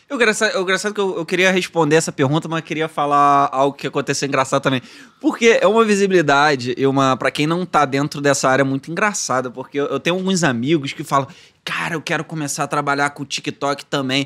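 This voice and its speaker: A man's fairly high, bright and sharp voice at a fairly quick pace, with ordinary pitch variation over a quiet background. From Brazil, Petrópolis (Rio de Janeiro state). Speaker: actor and content creator. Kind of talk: casual interview chat. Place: studio. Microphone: studio mic.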